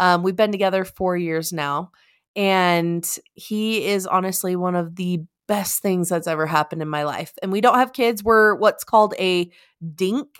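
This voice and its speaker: With a normal speaking voice, a woman of medium pitch talks at a moderate pace with ordinary pitch variation on a very clean recording with a silent background. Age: 30s. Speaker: podcast co-host. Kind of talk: casual chat; show outro.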